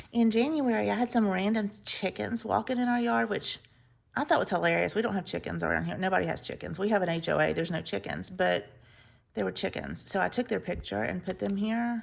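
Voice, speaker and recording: Someone with an Alabama accent talks at a fairly quick pace. The recording is very clean, with a silent background. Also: woman. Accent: Southern US (Alabama). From US South, Mobile, Alabama. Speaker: planner and journaling vlogger. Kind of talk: casual chat.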